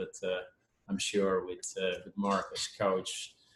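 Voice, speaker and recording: A man's fairly low-pitched voice with a Dutch accent. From Netherlands. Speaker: parent. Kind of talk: video call introduction.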